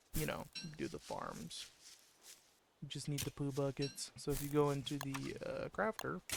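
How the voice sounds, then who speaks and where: A man speaks softly at a moderate pace. He leaves long, frequent pauses. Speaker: video game streamer. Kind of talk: gameplay commentary. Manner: soft-spoken.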